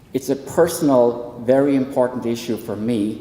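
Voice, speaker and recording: With an Irish accent, a man speaks at medium pitch with ordinary pitch variation, audible room echo, and noticeable background noise. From southwestern rural Ireland. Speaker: psychology professor and counsellor. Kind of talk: public talk at a town hall panel. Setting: hall with live audience.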